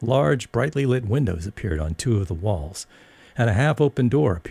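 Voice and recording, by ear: Lively intonation in a natural voice reading aloud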